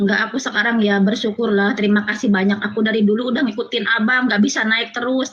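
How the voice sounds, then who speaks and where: A woman talks very fast in a fairly high voice with fairly even intonation. Noticeable background noise runs underneath. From Cianjur, West Java (Sundanese). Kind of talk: testimony on video call.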